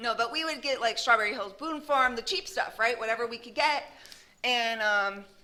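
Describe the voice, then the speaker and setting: Using a bright, sharp tone, a woman with an American accent speaks high at a moderate pace with ordinary pitch variation. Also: long, frequent pauses, big swings in loudness. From Arizona. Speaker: speaker at a recovery meeting. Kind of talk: recovery testimony. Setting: meeting with live audience, recorded. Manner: loud; casual, lots of fillers.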